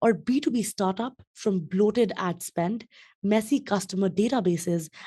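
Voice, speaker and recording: A woman speaks at a moderate pace and medium pitch, somewhat breathy, with a dark, mellow tone and lively intonation. The background is quiet. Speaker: podcast host. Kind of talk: podcast interview host.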